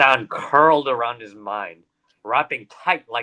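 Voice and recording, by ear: Natural-voiced reading aloud over a quiet background, pitch varying in an ordinary way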